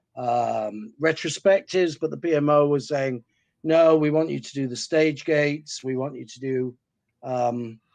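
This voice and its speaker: This man has a fairly high pitch and a west of England accent, speaking at a fairly slow pace. His pitch variation is ordinary, while his loudness swings widely. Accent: west of England (Gloucestershire). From west of England, Gloucestershire. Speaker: project management consultant. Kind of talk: webinar presentation. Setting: webinar.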